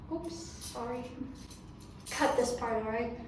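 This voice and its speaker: At a fairly slow pace, a woman speaks with lively intonation amid noticeable background noise and audible room echo. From Iran. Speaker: fashion YouTuber. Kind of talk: casual vlog. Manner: animated.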